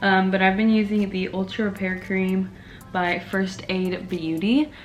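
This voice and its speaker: A soft-spoken woman talks at a medium pitch. Audible room echo and noticeable background noise surround her voice. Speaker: beauty YouTuber. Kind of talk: makeup tutorial. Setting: home video under ring light.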